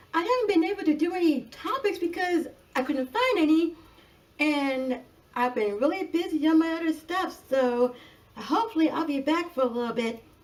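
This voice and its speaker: Moderate pace and very wide pitch swings. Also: woman. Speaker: wrestling reviewer. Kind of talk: casual review talk to camera. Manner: stuttering.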